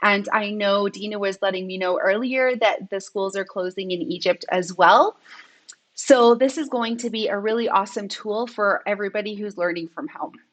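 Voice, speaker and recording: Against a quiet background, a woman speaks at a moderate pace with ordinary pitch variation. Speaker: edtech trainer. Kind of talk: live online training. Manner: animated. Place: home room. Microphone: webcam.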